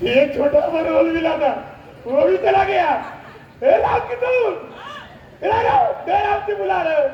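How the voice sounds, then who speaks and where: A man puts on a whiny character voice with an extremely high pitch, talking at a moderate pace with clear echo and light background noise. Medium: stage play. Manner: whiny, excitable.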